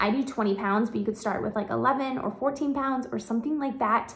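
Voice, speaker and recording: The pace is moderate as a woman talks. There is ordinary variation in her pitch. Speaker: lifestyle vlogger. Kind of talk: casual vlog chat. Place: home room. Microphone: phone near.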